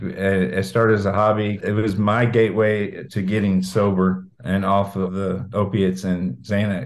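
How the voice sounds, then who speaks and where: A man speaks with an American accent, using an ordinary speaking voice at a moderate pace with hardly any pauses. His pitch is fairly low and his intonation fairly even. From Indiana, Brown County. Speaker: singer-songwriter. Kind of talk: interview.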